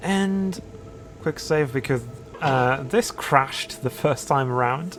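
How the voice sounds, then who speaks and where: Through noticeable background noise, a man with a fairly high pitch speaks at a very slow pace with ordinary pitch variation. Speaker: gaming video creator. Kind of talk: let's play commentary. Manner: hesitant, many fillers; lowered voice.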